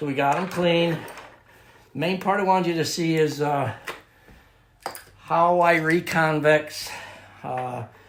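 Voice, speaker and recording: A man speaks at a fairly slow pace with a fairly high pitch and fairly even intonation. Long, frequent pauses break up his speech amid audible room echo. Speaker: scissor sharpener. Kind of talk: tutorial. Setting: at home workshop. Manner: casual, filler-heavy; loud.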